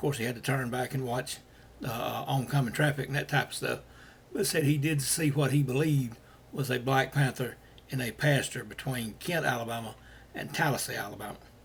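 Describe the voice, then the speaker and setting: Somewhat breathy, a man talks at a fairly quick pace. His pitch is medium and his intonation fairly even. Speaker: paranormal sighting reporter. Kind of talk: casual podcast talk. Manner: rambling, hesitant.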